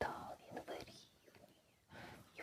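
Someone is whispering in a soothing, gentle tone. Noticeable background noise can be heard. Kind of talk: ASMR role-play, massage spa session. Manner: soft, soothing, gentle.

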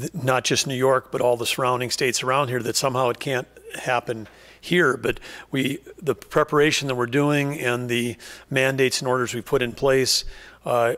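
A man at a moderate pace with monotone, flat intonation in a quiet background. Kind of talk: press conference statement. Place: hall. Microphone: podium.

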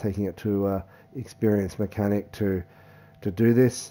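A man speaks in a dark, mellow tone at a moderate pace. His intonation is monotone and flat. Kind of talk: explanatory repair vlog. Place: home room.

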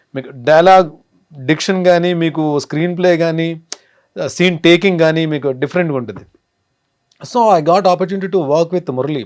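A man with a fairly high voice and ordinary pitch movement talks against a quiet background. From Andhra Pradesh, near Visakhapatnam. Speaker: actor. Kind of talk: interview. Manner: polite.

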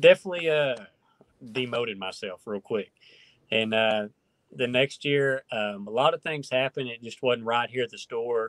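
With a rural Oklahoma accent, a man talks at a moderate pace with ordinary pitch variation. The background is quiet, and the sound is dry with no echo. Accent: Oklahoma rural Southern-Midwestern. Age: 30s. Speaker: professional bass angler. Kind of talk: casual interview chat. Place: home room. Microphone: video call.

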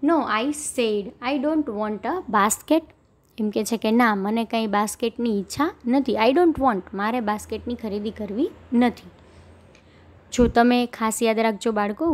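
A woman's fairly high voice, an unremarkable speaking voice, with ordinary pitch variation. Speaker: English teacher. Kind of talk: lecture.

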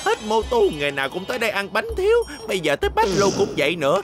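A man puts on a cartoonish character voice, high-pitched with vocal fry and very wide pitch swings. He talks fast while faint music plays in the background.

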